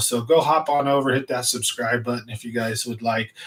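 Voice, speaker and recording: One man, an ordinary speaking voice, talks at medium pitch with ordinary pitch variation. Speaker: fishing channel host. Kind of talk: live stream chat. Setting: home studio. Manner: casual, rambling delivery.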